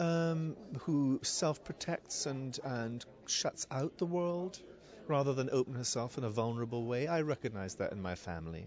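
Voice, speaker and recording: Moderate-paced speech in a Scottish accent, with dry sound, no echo and light background noise. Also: man, medium pitch for a man. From Scotland. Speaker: theatre director. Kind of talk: interview. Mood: thoughtful, earnest. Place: shop. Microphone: handheld.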